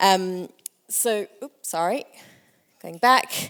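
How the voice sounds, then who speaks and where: A woman's voice at medium pitch with ordinary pitch variation. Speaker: conference speaker for a language nonprofit. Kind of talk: conference talk. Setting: stage with audience. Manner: fast.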